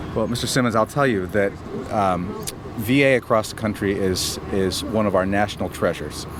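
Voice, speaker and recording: Fairly quick speech from a man with a fairly low pitch and fairly even intonation, over noticeable background noise. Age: 50s. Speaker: VA hospital administrator. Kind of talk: interview. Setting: on location at a veterans hospital. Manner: halting, repeats words.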